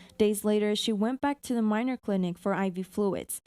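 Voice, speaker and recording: Recorded with a dry, close sound and no echo, a woman speaks with an American accent at a fairly high pitch. Her tone is dark and mellow, her pace moderate and her pitch variation ordinary. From Texas, Houston. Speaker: TV news reporter. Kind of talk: news voiceover.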